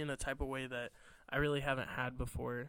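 Speaking at a moderate pace, a man with an American accent is heard on a very clean recording with a silent background. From Illinois. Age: 20s. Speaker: air force member and podcast co-host. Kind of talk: casual chat.

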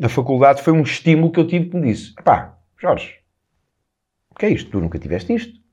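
The speaker is a man. He has a dark, mellow tone. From Portugal, Lisbon. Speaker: self-improvement coach, podcast host. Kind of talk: solo motivational talk.

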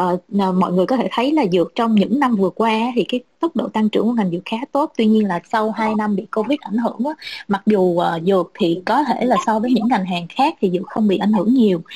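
In a dry, close recording with no echo, a woman with a fairly high, somewhat breathy voice races along at a very fast pace with hardly any pauses and ordinary pitch variation. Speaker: pharma marketing professional. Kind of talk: panel discussion. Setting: video call.

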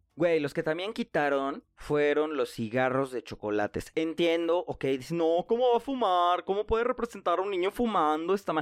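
A man with a Mexican accent speaks at a moderate pace in a high pitch, his tone animated and his pitch swinging very widely. The sound is dry and close with no echo, over a quiet background. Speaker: podcast host. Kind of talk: casual monologue.

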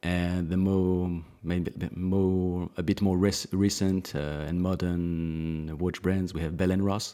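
In a French accent, a man talks very slowly with hardly any pauses, his voice very deep and low with a dark, mellow tone. His intonation is flat and monotone, and the recording is very clean with a silent background. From France, Alsace. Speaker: watch brand founder and designer. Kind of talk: casual interview.

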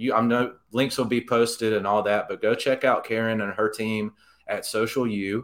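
In a very clean recording with a silent background, a man with an Alabama accent speaks at a fairly low pitch and moderate pace, his intonation fairly even. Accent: Southern US (Alabama). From Alabama, US South (Jasper). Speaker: real estate agent. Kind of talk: interview.

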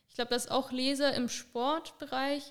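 The pace is moderate. The intonation stays flat and monotone. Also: woman. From southern Germany, near Stuttgart. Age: 20s. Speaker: sprinter. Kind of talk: interview.

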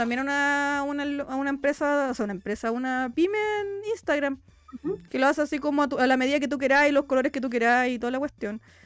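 Speaking at a very fast pace with a Chilean accent, the voice shows ordinary pitch variation. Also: woman, high pitch for a woman. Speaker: podcast host. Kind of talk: casual chat.

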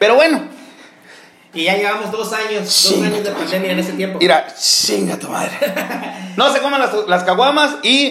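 Over noticeable background noise and audible room echo, a man speaks high for a man in an animated tone with lively intonation. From Mexico, Sinaloa (Los Mochis). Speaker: show co-host. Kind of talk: casual chat.

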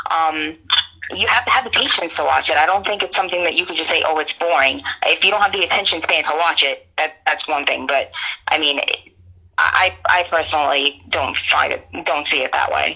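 The speaker talks at a fairly quick pace with ordinary pitch variation, and noticeable background noise can be heard. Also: woman, fairly low pitch for a woman. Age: 30s. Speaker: sports commentator. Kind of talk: casual chat.

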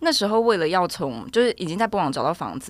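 On a very clean recording with a silent background, a woman's voice makes very wide pitch swings. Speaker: law graduate studying for bar exam. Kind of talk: casual chat.

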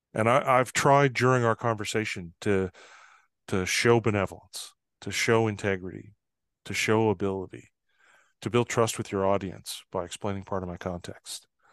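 A man speaks in an ordinary speaking voice, fairly low in pitch, with fairly even intonation at a moderate pace against a quiet background. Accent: Canadian. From northern Canada. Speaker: trust expert and consultant. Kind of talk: interview conversation.

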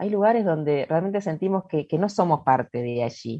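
Against a quiet background, a woman with a fairly low voice makes very wide pitch swings. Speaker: ontological coach. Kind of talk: podcast interview, explanatory talk. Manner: calm, unhurried.

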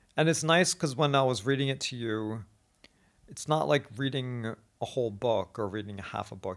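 A man with an ordinary speaking voice talks with lively intonation at a moderate pace, recorded very cleanly over a silent background. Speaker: podcast host and teacher. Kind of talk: casual chat. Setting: Beijing, China.

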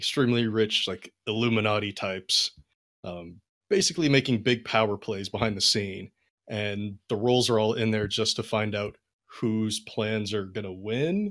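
On a very clean recording with a silent background, a man talks in a fairly low pitch with fairly even intonation and an unremarkable speaking voice. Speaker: podcast host and game master. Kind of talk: casual chat.

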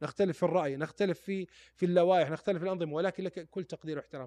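Dry and close with no echo, a man's fairly high voice races along at a very fast pace. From Saudi Arabia, Taif. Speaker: former footballer and sports pundit. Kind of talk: podcast interview.

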